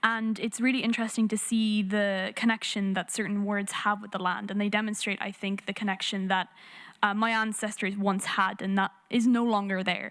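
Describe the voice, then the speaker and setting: The speaker has an Irish accent. The intonation is monotone and flat. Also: woman. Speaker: youth climate activist. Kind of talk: panel discussion.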